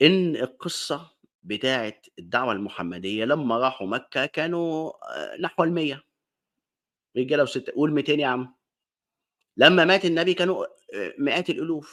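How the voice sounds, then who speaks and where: On a very clean recording with a silent background, a man with an Alexandrian accent speaks fairly slowly in a fairly high voice with lively intonation and long, frequent pauses. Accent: Egyptian Arabic, Alexandrian. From Egypt, Alexandria. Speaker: online talk show host. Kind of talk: monologue lecture. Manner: casual, conversational.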